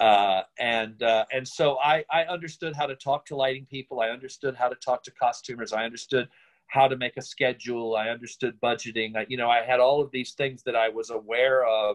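With an American accent, a man speaks at a fairly quick pace and fairly even intonation over a quiet background. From Virginia, Richmond; Virginia. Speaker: playwright and director; interviewee. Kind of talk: interview. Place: home room. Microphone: phone near.

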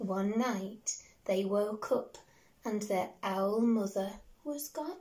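At a very slow pace, a woman speaks with a fairly high pitch, a gentle, warm tone that is also dark and mellow, somewhat breathy, with ordinary pitch variation. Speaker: primary school teacher. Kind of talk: bedtime story reading aloud to young children, with a chatty intro. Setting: video recorded at home. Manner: gentle, warm and sing-song, with slow, expressive pacing and character voices; animated and encouraging, speaking directly to small children. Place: home room. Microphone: phone near.

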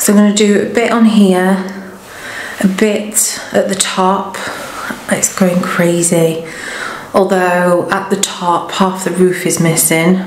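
A woman speaks at a very slow pace with long, frequent pauses and monotone, flat intonation, amid audible room echo and light background noise. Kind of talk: casual vlog chat. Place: empty room. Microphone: phone near.

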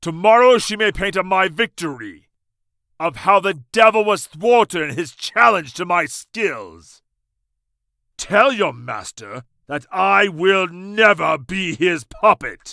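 A man speaks in a raised, projected voice at a high pitch, very slowly, with long, frequent pauses. The recording is very clean, with a silent background and a dry, close sound with no echo. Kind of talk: archaic heroic speech. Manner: defiant and righteous, then tender and pleading.

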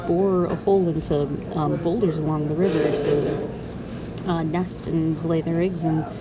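This woman talks at a fairly slow pace. Noticeable background noise runs behind her voice. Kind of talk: casual vlog chat. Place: station.

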